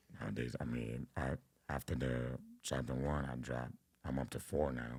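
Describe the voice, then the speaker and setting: At a moderate pace, a man with a very deep, low pitch and vocal fry speaks with fairly even intonation. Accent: New York. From Brooklyn, New York. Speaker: rapper. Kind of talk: interview answer. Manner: casual.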